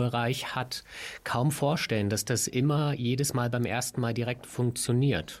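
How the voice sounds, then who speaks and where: In a very clean recording with a silent background, a man with an ordinary speaking voice speaks at a moderate pace, medium in pitch, with fairly even intonation. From Berlin. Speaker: podcast co-host. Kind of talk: interview.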